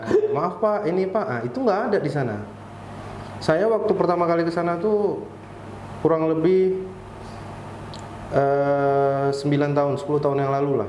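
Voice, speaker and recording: A man speaks at a moderate pace with long, frequent pauses, his pitch fairly high and intonation lively. Audible room echo and noticeable background noise fill the recording. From Riau Islands, Indonesia. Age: 30s. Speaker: structural engineer. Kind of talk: podcast interview.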